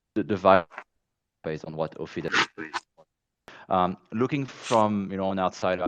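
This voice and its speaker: The man's pitch sits very deep and low. He keeps to a moderate pace. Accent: French. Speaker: marketing executive. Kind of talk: casual chat. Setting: online audio space.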